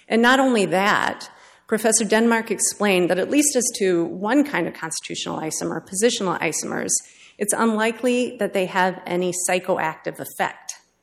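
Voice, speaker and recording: In a normal speaking voice, a woman speaks at a fairly quick pace with medium pitch and ordinary pitch variation. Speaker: government appellate attorney. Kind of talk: appellate oral argument. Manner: formal.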